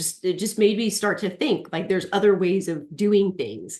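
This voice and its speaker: A woman speaks in an unremarkable speaking voice at a medium pitch. Her pace is moderate and her intonation fairly even. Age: 40s. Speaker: aesthetician and natural health practitioner. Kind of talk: webinar interview.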